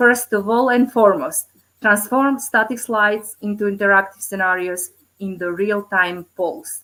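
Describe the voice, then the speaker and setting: Speaking at a moderate pace, a woman uses a medium pitch with ordinary variation. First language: Macedonian. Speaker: teacher presenting at conference. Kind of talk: conference presentation. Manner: halting, many fillers.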